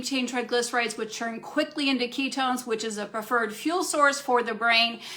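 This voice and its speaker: A woman talks at a fairly quick pace in a high voice, with noticeable background noise behind her. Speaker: functional medicine practitioner. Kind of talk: live Q&A talk. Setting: Facebook live stream. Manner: fast.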